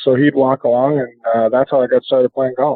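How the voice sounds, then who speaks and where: A man with an American accent speaks at a fairly quick pace and a medium pitch. His intonation is monotone and flat. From Minnesota. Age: 40s. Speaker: professional golfer. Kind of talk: interview.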